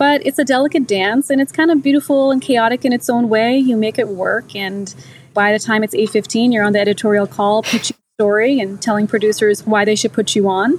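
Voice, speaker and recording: A woman with a normal speaking voice talks at a fairly quick pace and a fairly high pitch, with ordinary pitch variation and very even loudness. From US. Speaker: TV business journalist. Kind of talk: interview conversation. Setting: podcast interview.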